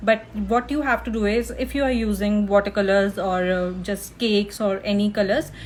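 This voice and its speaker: The voice moves at a moderate pace with ordinary pitch variation. Noticeable background noise runs beneath it. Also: woman. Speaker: art teacher and freelance illustrator. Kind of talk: live art tutorial. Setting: live stream. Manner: loud.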